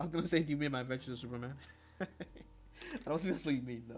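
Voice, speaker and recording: A man with a Nigerian accent talks with vocal fry. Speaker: livestreaming artist. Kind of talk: casual livestream chat while drawing. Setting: live stream. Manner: casual, thinking aloud.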